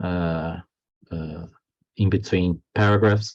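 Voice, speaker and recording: Very slow delivery with a non-native accent, fairly even intonation, and a quiet background. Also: man. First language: not English. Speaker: philosophy of history professor. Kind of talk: academic lecture read from text. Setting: online lecture. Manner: halting, with many fillers and repetitions.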